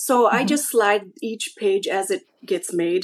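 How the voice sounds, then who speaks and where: An ordinary speaking voice from a woman, fairly high in pitch, with lively intonation at a fairly slow pace. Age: 40s. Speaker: scrapbooking hobbyist, military spouse. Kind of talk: casual interview.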